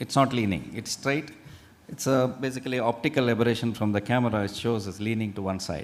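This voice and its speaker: At a very fast pace, a man with an Indian accent talks at medium pitch with ordinary pitch variation. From India, Udupi region (coastal Karnataka). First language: Tulu. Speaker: faculty speaker at medical college orientation. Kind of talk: presentation to new students.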